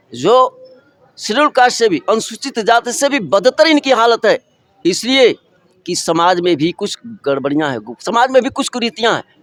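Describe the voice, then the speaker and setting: At a moderate pace and with very wide pitch swings, the voice sounds dry and close with no echo. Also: man, extremely high pitch for a man. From eastern Uttar Pradesh (Deoria). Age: 70s. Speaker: retired clerk and social worker. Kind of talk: interview testimony. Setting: community conference.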